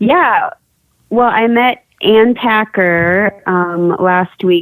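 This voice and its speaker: A woman speaks with an Upper Midwest accent. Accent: Upper Midwest American. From South Dakota. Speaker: artist and art teacher. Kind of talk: radio interview. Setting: phone or remote call from her kitchen.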